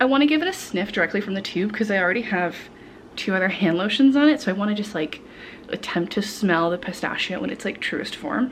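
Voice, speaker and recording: A woman's medium-pitched voice, very fast and lively in intonation, over noticeable background noise. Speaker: vlogger. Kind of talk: casual vlog talk.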